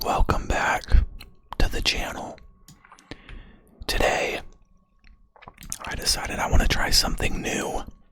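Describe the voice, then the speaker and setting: Whispering at a fairly slow pace, with long, frequent pauses and noticeable background noise. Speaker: ASMR content creator. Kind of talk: casual ASMR talk to camera while gaming. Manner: soft-spoken, whispered.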